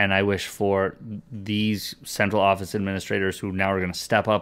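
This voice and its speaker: In a plain, everyday voice, a man with fairly low pitch talks at a moderate pace. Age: 40s. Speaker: podcast co-host discussing school district. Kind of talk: casual chat. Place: home room. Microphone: studio mic.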